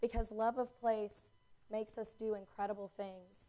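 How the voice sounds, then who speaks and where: In a Southern US accent, the speaker moves at a moderate pace with monotone, flat intonation and a dark, mellow tone. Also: woman. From US South, North Carolina. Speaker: placemaking consultant, keynote speaker. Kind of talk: public talk.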